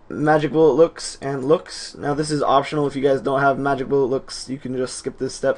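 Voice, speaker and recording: Against noticeable background noise, a man with a fairly high pitch talks fairly quickly with fairly even intonation. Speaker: video editing tutorial maker. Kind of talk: tutorial. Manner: casual, self-correcting.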